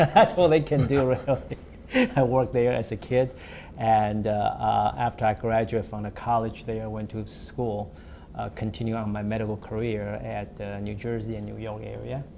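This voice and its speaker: Big swings in loudness mark the speech of a man with an American accent, who talks at a moderate pace and medium pitch with ordinary pitch variation. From Taiwan, then Colorado. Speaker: cardiologist. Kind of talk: interview. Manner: halting, many fillers.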